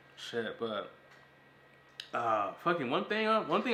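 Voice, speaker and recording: Bright and sharp in tone, a man's animated voice swings very widely in pitch. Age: 20s. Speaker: podcast host. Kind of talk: casual chat. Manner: fast.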